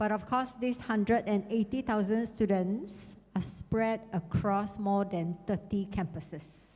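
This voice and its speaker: A woman speaks at a fairly slow pace, somewhat breathy, at a medium pitch. Her intonation is fairly even and her loudness very even. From Malaysia, Sarawak (Kuching). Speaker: university international affairs coordinator. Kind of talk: conference talk.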